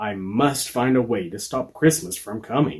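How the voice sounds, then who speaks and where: A man puts on a growling character voice at a medium pitch. His intonation is lively and his pace moderate. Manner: growling, sneering.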